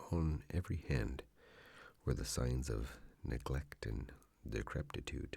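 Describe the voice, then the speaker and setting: Soft-spoken and with vocal fry, a man with a very deep, low pitch talks very slowly, with ordinary pitch variation. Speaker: ASMR narrator. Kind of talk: soft-spoken scary story reading.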